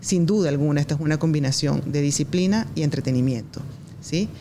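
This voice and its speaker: Noticeable background noise surrounds a woman whose pitch varies in an ordinary way. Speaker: esports arena general manager. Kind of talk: podcast guest talking about the esports industry. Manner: fluent, earnest, with frequent fillers.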